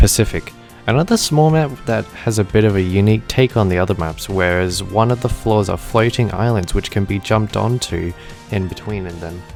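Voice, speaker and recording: Music plays in the background as a man with a fairly low pitch talks at a fairly quick pace with ordinary pitch variation. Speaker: gaming YouTuber. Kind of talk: gaming tutorial narration.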